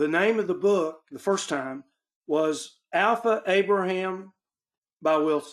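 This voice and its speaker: In an Arkansas accent, a man speaks very slowly at a high pitch with ordinary pitch variation and very even loudness. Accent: Arkansas Southern accent, noticeable. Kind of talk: group Bible study discussion.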